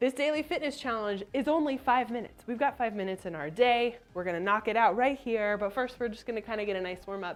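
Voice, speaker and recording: With music in the background, a woman speaks at a very fast pace in a fairly high voice. Her tone is upbeat and her intonation lively. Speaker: adaptive fitness trainer. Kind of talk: live fitness class with health talk. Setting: live online stream. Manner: upbeat, encouraging.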